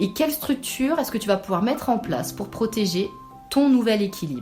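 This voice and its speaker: A woman speaks at a fairly high pitch and a fairly quick pace. Music plays in the background. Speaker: spiritual guide and meditation host. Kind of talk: spiritual podcast monthly guidance. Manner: calm, gentle, soothing.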